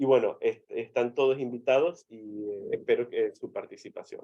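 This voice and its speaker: Fairly high male voice, its pitch varying in an ordinary way. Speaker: medical physicist presenter. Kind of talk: webinar presentation. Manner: fast.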